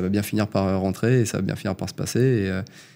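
At a fairly quick pace, a man with a fairly low pitch and ordinary pitch variation has an unremarkable speaking voice. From Île-de-France (Yvelines); Île-de-France. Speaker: plumber, former community manager; podcast guest. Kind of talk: interview testimony. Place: studio. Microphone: studio mic.

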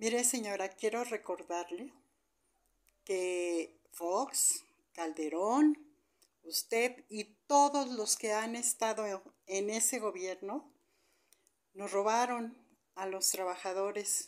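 Over a quiet background, the speaker talks at a very slow pace with lively intonation and long, frequent pauses. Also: woman, fairly high pitch for a woman. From Mexico. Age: 60s. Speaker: retiree. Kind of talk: video message. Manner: heated. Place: home room. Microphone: phone near.

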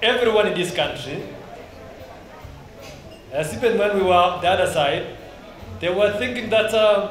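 Music plays in the background and room echo is audible as the speaker goes at a moderate pace with long, frequent pauses. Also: man. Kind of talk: speech. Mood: celebratory, grateful. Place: hall. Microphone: handheld.

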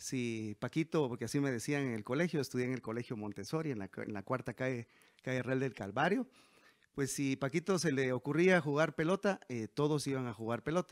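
A man talks fairly quickly with ordinary pitch variation, and the background is quiet. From Guatemala, Quetzaltenango; Guatemala. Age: 40s. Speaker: mayoral candidate; candidate. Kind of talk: interview. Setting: at home. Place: home room. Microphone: handheld.

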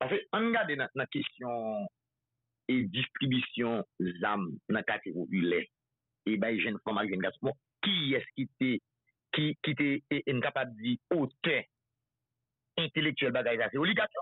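A man with a Haitian accent speaks at a very slow pace with lively intonation, very even loudness and long, frequent pauses, in a dry sound with no echo and a quiet background. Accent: Haitian Creole. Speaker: political activist. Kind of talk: casual chat. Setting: phone call. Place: studio.

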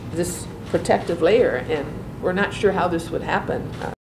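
A woman with a fairly low pitch is heard over noticeable background noise. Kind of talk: formal statement at hearing. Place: hall. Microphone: podium.

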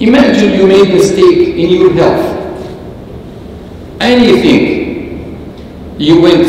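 Strong room echo surrounds a man's high voice as he talks at a very slow pace over light background noise. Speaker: bishop. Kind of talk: lecture. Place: church.

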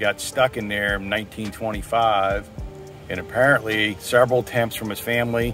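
A man speaks at a moderate pace in a fairly low pitch with fairly even intonation, his voice dry with no echo while clear music plays in the background. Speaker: interviewee. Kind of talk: interview answer. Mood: relaxed, mildly amused. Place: forest. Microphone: phone near.

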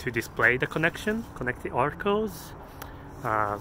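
A man speaks at a fairly slow pace, the sound dry with no echo, while loud background noise plays. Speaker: app developer vlogger. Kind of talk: casual vlog chat. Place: street. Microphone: phone near.

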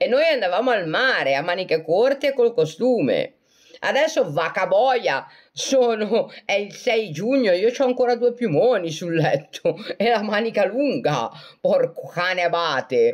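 Her pitch fairly high and swinging very widely, a woman speaks at a fairly slow pace with very even loudness. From Italy, Genoa (Liguria). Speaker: self-described medium and live streamer. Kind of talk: casual live-stream chat answering viewer comments. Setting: live video stream on social media. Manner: animated, laughs often.

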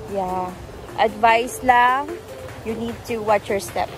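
A woman's voice sounds dry with no echo while clear music plays in the background. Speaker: vlogger. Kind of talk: casual vlog chat. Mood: cheerful, laughing. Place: waterside. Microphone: phone near.

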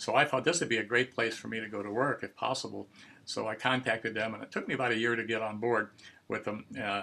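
A man's very fast speech with vocal fry and fairly even intonation. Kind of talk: interview answer. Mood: warm, nostalgic, chuckling. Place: workshop. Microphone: video call.

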